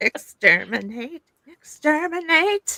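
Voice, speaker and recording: A woman's put-on character voice, robotic and high-pitched, at a very slow pace. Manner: robotic, barking.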